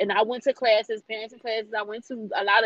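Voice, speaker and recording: This is a normal speaking voice at a fairly quick pace. Its intonation stays fairly even. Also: woman. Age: 30s. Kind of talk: casual interview.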